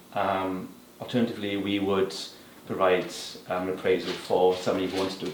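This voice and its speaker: A man speaks at a fairly quick pace with a Welsh accent. Noticeable background noise and audible room echo surround him. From Wales. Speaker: property appraiser. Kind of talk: interview. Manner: hesitant with many fillers.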